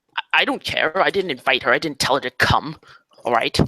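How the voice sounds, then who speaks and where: Putting on a character voice, a man talks at a fairly quick pace in a fairly high pitch with ordinary pitch variation. The sound is dry and close, with no echo. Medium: actual play. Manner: curt, hostile.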